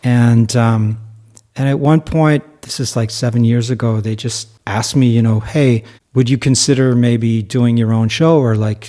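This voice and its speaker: His voice has a dark, mellow tone and medium pitch. The man speaks at a moderate pace. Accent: slight New Jersey. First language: German. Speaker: musician and podcast co-host. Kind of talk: casual chat. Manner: animated.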